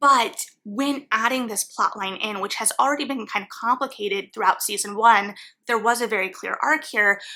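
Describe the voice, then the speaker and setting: Her pitch is fairly high, and she shows ordinary pitch variation. This woman has a bright, sharp tone. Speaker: book reviewer. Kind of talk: video essay.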